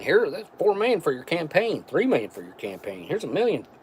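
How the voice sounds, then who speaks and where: Speaking fairly quickly with an American accent, a man is heard through noticeable background noise. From West Virginia. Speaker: MRE taste-test streamer. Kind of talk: casual live stream chat. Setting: live stream.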